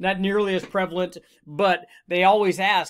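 A man is talking. The background is quiet. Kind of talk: tutorial. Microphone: webcam.

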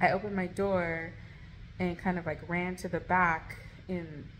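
Music plays in the background. A woman speaks with a fairly low pitch. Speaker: vlogger. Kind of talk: casual vlog storytime. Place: home room. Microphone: phone near.

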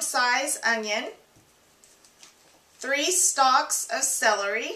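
A woman uses a raised, projected voice at a very slow pace, with ordinary pitch variation. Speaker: home cook host. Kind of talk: tutorial. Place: kitchen. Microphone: camera far.

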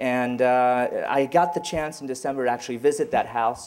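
Here a man speaks at a moderate pace, his medium pitch showing ordinary pitch variation. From Cambodian-born, raised in France then US. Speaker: professor. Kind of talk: lecture. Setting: stage with audience. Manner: halting. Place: meeting room. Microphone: handheld.

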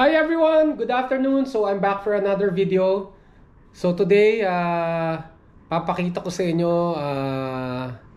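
A man with high pitch and very wide pitch swings, at a fairly slow pace. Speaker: vlogger. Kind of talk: casual vlog chat. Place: home room. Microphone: phone near.

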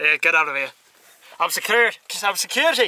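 A man speaks in a raised, projected voice with ordinary pitch variation. The sound is dry with no echo. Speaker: festival-goer vlogger. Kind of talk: casual vlog chat. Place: car. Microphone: phone near.

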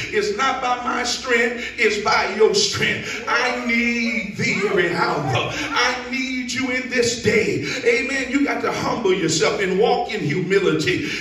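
Raised and projected, a man's extremely high voice moves fairly slowly with lively intonation and hardly any pauses, while the room echo is audible. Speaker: preacher. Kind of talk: sermon. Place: church.

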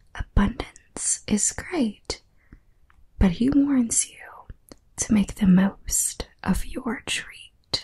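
Soft-spoken and at a very slow pace, a woman talks over light background noise. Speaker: tarot reader. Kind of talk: tarot reading. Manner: soft-spoken close-mic reading. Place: home room.

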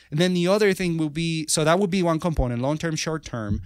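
In a very clean recording with a silent background, a man with a Spanish accent speaks at a fairly quick pace with ordinary pitch variation. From Venezuela. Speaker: software engineer and author. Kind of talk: interview. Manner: halting.

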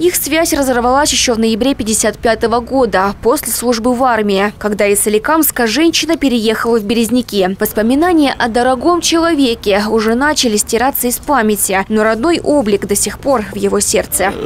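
The voice moves at a moderate pace with hardly any pauses and ordinary pitch variation, over noticeable background noise. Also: woman, fairly high pitch for a woman, very even loudness. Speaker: TV correspondent. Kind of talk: TV news report.

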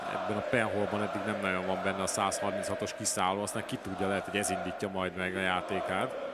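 Very even loudness at a fairly quick pace, with audible room echo and noticeable background noise. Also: man. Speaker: darts commentator. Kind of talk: live commentary.

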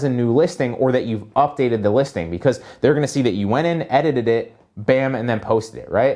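Over a quiet background, a man with a dark, mellow tone talks at a fairly quick pace with lively intonation. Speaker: online seller coach. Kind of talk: casual tutorial talk. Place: office. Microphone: camera far.

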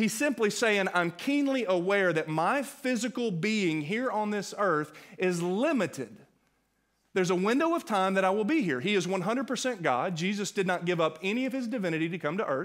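The speaker uses lively intonation at a moderate pace. The background is quiet. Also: man, high pitch for a man. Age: 40s. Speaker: pastor. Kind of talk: sermon. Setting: church. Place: church. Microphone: headset.

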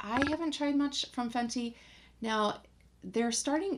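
A woman is speaking. Her pace is fairly slow. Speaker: beauty vlogger. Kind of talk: casual vlog chat. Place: home room.

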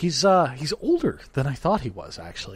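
The man's voice comes across as somewhat breathy on a very clean recording with a silent background. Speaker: podcast host. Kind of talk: podcast outro and casual chat. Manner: hesitant, many fillers.

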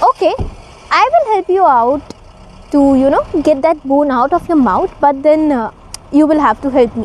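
A woman speaks at a high pitch with lively intonation. The sound is dry with no echo, over light background noise. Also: moderate pace. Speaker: storyteller. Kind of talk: storytelling to camera. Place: garden. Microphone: lapel.

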